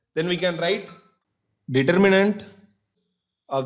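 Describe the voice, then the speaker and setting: A man's voice, delivered at a moderate pace, carries audible echo from the room. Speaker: engineering lecturer. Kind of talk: lecture.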